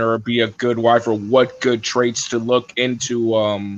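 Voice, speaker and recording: At medium pitch, a man talks with monotone, flat intonation. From US, Latin American immigrant parents. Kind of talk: casual chat. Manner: halting, many fillers.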